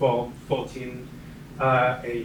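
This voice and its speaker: Someone speaks with a French accent. There is audible room echo along with noticeable background noise. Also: man. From France. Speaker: community member sharing experience. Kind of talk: personal testimony to audience. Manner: halting.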